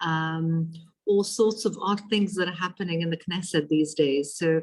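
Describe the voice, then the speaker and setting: A woman's somewhat breathy, fairly low voice in a South African accent, with fairly even intonation. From Israel (Ashdod), then South Africa. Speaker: politician. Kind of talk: lecture. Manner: halting, many fillers.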